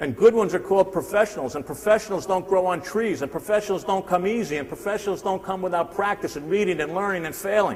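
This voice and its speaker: A high-pitched man with a New Jersey accent at a very fast pace, with ordinary pitch variation. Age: 60s. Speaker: sales speaker. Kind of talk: motivational seminar talk. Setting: stage with audience. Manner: animated.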